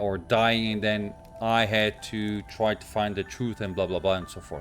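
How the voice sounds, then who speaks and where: A man's fairly low voice with a non-native accent, music in the background. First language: not English. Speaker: gaming YouTuber. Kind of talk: gameplay commentary. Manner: hesitant, many fillers.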